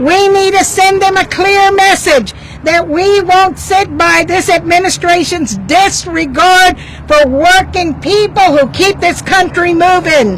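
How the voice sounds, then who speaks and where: In a recording with noticeable background noise, a woman with an extremely high pitch and ordinary pitch variation speaks at a fairly slow pace and very even loudness. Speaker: labor union representative. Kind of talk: rally speech. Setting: outdoor union rally with crowd, handheld mic.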